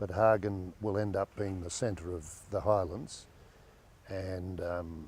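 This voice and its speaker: A man talks at a moderate pace in a very deep, low pitch, sounding somewhat breathy. His intonation stays fairly even. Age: 70s. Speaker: businessman. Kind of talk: interview. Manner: halting.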